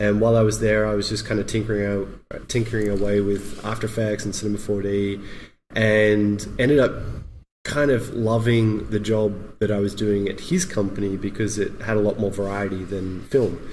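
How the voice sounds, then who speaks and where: In an Australian accent, a man talks at a moderate pace with a fairly low pitch and monotone, flat intonation, with audible room echo in the recording. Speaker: motion graphics artist. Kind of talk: podcast interview.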